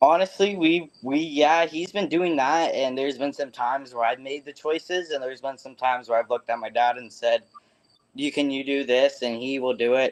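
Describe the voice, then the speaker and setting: Fairly quick speech in an ordinary speaking voice, its pitch varying in an ordinary way. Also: man, fairly high pitch for a man. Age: young. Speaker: stock car racer. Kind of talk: interview answers.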